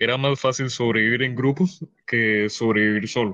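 A man's medium-pitched voice with a bright, sharp tone and fairly even intonation, dry and close with no echo, against a quiet background. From Cayman Islands. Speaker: streamer and podcast guest. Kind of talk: casual chat. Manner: loud.

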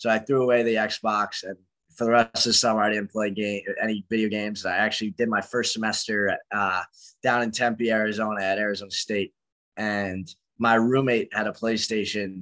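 Against a quiet background and in a dry, close sound with no echo, a man speaks at a fairly quick pace with a fairly low pitch, a bright, sharp tone and monotone, flat intonation. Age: 20s. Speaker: esports pro player and founder. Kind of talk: casual interview.

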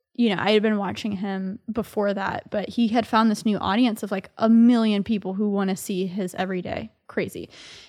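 Monotone, flat delivery at a fairly quick pace in an American accent, with hardly any pauses. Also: woman, medium pitch for a woman, very clean recording, silent background. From Texas, Dallas area. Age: 20s. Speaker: tech YouTuber. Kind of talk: casual chat. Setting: studio.

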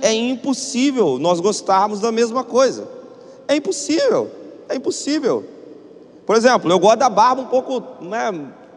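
A man with a Brazilian accent speaks in an extremely high pitch and an animated tone, leaving long, frequent pauses over noticeable background noise. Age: 30s. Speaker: pastor. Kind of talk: sermon.

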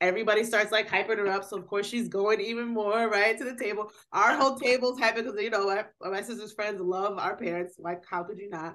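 A woman with an ordinary speaking voice talks fairly quickly with hardly any pauses. Her pitch is fairly high and her intonation fairly even. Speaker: podcast host. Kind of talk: casual chat.

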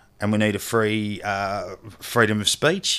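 A man with an Australian accent at a medium pitch. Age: 40s. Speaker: charity founder, former police officer. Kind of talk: casual interview chat. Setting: remote call.

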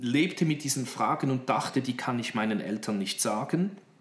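Noticeable background noise surrounds this recording. The man in it speaks at a fairly high pitch. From Horn of Africa (Djibouti), Swiss missionary family. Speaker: pastor and theology lecturer. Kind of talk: interview. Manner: hesitant with fillers.

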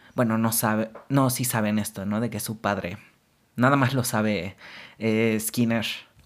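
Speaking with a Mexican accent, a man uses a medium pitch and fairly even intonation. He goes at a fairly slow pace. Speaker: podcast host. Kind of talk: casual monologue.

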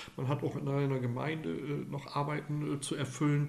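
Audible room echo surrounds a man whose fairly high-pitched voice has fairly even intonation. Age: 50s. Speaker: lay priest. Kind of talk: interview.

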